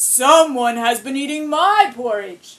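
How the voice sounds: In a put-on character voice, a female-sounding speaker uses a high pitch at a fairly slow pace.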